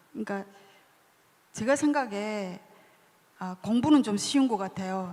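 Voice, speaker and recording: Pausing long and often, a woman speaks at a fairly slow pace and a medium pitch, with ordinary pitch variation. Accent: North Korean. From North Korea. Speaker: author. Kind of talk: book talk interview.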